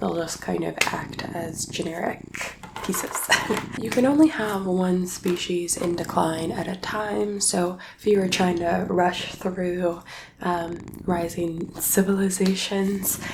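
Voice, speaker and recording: Soft-spoken, a woman talks at a very slow pace with fairly even intonation. Noticeable background noise runs underneath. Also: medium pitch for a woman. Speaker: board game teacher. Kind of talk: board game rules tutorial.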